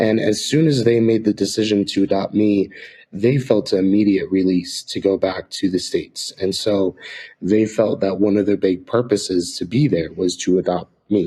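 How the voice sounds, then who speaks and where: Soft-spoken, with an American accent, a man talks at a fairly low pitch in a dark, mellow tone with fairly even intonation on a very clean recording with a silent background. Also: moderate pace. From Ecuador, then rural Nevada. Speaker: missionary. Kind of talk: interview.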